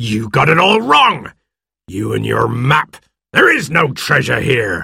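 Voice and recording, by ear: A put-on character voice, bright and sharp in tone with vocal fry and a husky, rough edge. It moves slowly through very wide pitch swings. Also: man, medium pitch for a man.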